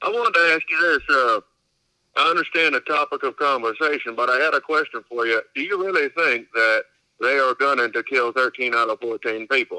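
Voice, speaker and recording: A man talks at a fairly quick pace with a strong Kentucky accent. The sound is dry and close, with no echo. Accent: strong Southern US (Kentucky). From US South, Louisville, Kentucky. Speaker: caller. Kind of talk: phone-in call.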